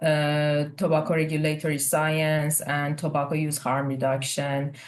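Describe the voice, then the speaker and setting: At a moderate pace, a voice with a Persian accent comes through audible room echo. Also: woman. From Iran. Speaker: research scientist. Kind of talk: casual chat.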